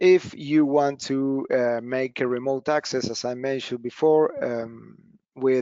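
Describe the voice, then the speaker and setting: At a fairly slow pace, a man talks with medium pitch and fairly even intonation. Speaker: product presenter. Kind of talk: webinar presentation. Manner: hesitant, many fillers.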